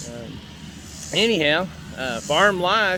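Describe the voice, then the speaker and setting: Noticeable noise fills the background as a man talks with lively intonation. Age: 60s. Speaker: farmer. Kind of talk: casual vlog talk. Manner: relaxed, hesitant with fillers.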